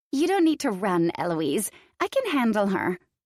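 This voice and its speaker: In a put-on character voice, a female-sounding speaker goes at a moderate pace, squeaky and fairly high in pitch. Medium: read story. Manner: smug, hostile.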